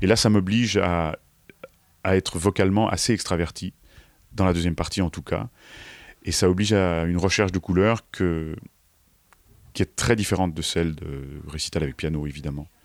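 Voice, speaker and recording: A man with a very deep, low voice speaks at a moderate pace, leaving long, frequent pauses, with ordinary pitch variation. The recording is very clean and dry, close with no echo, against a silent background. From France. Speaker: opera singer. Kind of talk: interview. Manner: halting.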